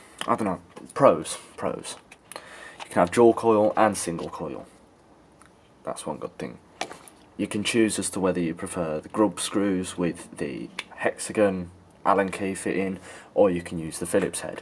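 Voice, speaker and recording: Against noticeable background noise, a voice in a British accent moves at a fairly slow pace with long, frequent pauses, ordinary pitch variation and big swings in loudness. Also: man, very deep, low pitch for a man. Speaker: vape reviewer. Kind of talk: product review. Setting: outdoors. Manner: casual.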